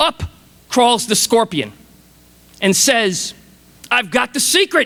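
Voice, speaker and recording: Extremely high in pitch, a man speaks in a raised, projected voice with an enthusiastic, passionate, bright and sharp tone and lively intonation. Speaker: motivational speaker. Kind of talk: commencement speech to a large audience. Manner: enthusiastic, passionate, storytelling.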